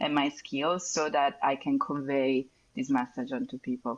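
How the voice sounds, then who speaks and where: A woman with an Italian accent speaks very slowly at a very deep, low pitch. Her intonation is lively, and there is noticeable background noise. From Italy. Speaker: neuropharmacologist and cannabis educator. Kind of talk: podcast interview.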